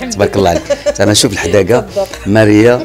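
A man speaking at a fairly quick pace with ordinary pitch variation, clear music in the background. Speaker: guest. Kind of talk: interview answer. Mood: cheerful, warm, laughing. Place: home room. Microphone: handheld.

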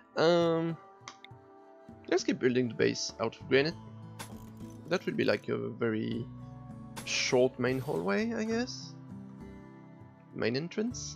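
Speech comes very slowly with a French accent, broken by long, frequent pauses. Clear music plays in the background. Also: man. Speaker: gaming YouTuber. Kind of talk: casual let's play commentary. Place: home room.

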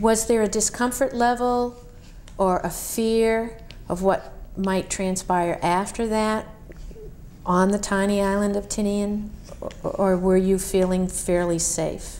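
Pausing long and often, a woman speaks at a fairly slow pace in a medium pitch with fairly even intonation. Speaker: oral history interviewer. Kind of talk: oral history interview.

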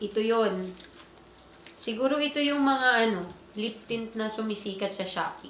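A woman's voice with ordinary pitch variation carries audible room echo over light background noise. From Philippines. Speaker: vlogger. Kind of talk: casual vlog chat. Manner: animated. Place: home room. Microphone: phone near.

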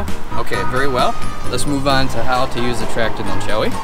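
Loud music plays in the background while a man talks at a fairly quick pace. The sound is dry with no echo. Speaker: vlog host. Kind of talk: casual vlog talk. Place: street. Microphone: phone near.

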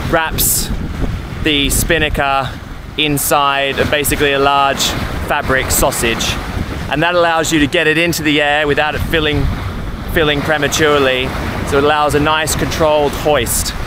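A man's flat, monotone delivery with long, frequent pauses and very even loudness, in a dry sound with no echo and noticeable background noise. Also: moderate pace. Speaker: solo sailor vlogger. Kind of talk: casual vlog tutorial. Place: boat. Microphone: phone near.

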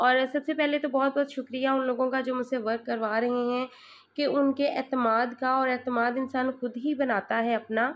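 A woman speaks in a high voice at a fairly slow pace. Her intonation is monotone and flat, and her loudness stays very even. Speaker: sewing tutor and tailor; sewing tutor. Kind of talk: unboxing vlog. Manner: chatty, conversational. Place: home room. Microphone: phone near.

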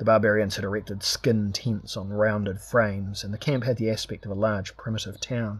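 Someone does plain reading aloud in this clip.

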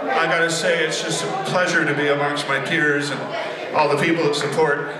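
A man is speaking in a room with audible echo. Noticeable background noise is present. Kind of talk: stage banter. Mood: warm, grateful. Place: stage. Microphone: camera far.

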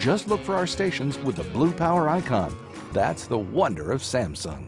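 Music plays in the background. A man speaks at medium pitch with very wide pitch swings. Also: moderate pace. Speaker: voice actor. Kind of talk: commercial read.

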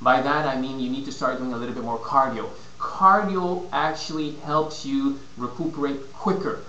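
A man's voice carries audible room echo, with light background noise underneath. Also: fairly high pitch for a man, ordinary pitch variation, moderate pace. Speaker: fitness and nutrition consultant. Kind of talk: casual vlog advice. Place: home room. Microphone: webcam.

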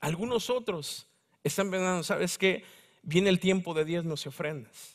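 A man talks in a Mexico City accent. The background is quiet. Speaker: preacher. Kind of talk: sermon. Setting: church. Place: church.

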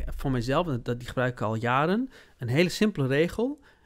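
Over a quiet background, a man with a fairly high pitch talks at a moderate pace with lively intonation. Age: 40s. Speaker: business consultant; podcast host or guest. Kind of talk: casual chat. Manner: halting. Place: studio. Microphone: studio mic.

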